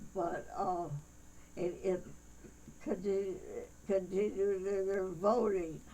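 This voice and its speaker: A woman speaks at medium pitch and a fairly slow pace, with audible room echo and noticeable background noise. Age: 90s. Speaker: church elder being interviewed. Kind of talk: interview. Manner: halting.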